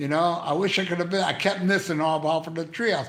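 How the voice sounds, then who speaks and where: Audible room echo fills the space around the speaker. He is a man with a fairly high pitch and an animated tone. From Canada. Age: 60s. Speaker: YouTuber live streaming to chat. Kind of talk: casual live stream chat. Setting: live stream from hospital.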